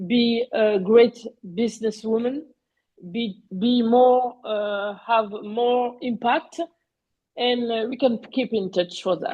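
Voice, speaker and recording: With a French accent, a woman with a fairly high pitch speaks at a very slow pace with ordinary pitch variation. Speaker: panelist on digital economy. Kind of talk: webinar presentation. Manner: halting, many fillers.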